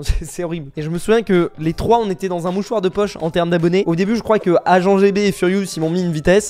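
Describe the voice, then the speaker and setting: A man's very fast, high voice with ordinary pitch variation. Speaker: youtuber. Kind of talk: casual commentary reacting to community posts. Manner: casual, hesitant.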